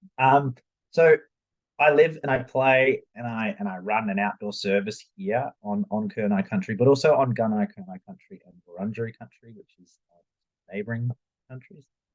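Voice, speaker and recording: An Australian accent at a moderate pace, in a dry, close sound with no echo. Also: man. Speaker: youth worker and adventure therapist. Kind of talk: presentation.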